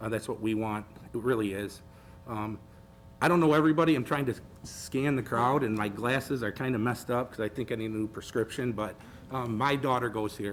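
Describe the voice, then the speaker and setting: Man with an American accent, medium pitch and ordinary pitch variation, at a fairly quick pace over music in the background. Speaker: school board member. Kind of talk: public meeting remarks. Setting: board meeting with audience. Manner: halting.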